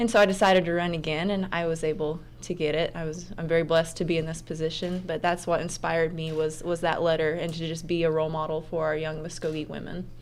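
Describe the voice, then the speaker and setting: A woman with an American accent talks at a very fast pace in a fairly low, monotone voice with flat intonation and hardly any pauses. Audible room echo surrounds the recording. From Oklahoma. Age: 20s. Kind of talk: radio interview.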